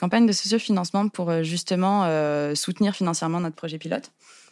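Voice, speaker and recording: Speaking at a fairly quick pace with hardly any pauses, a woman uses a normal speaking voice, fairly low in pitch with ordinary pitch variation. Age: 20s. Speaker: co-founder of a communication cooperative. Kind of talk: interview.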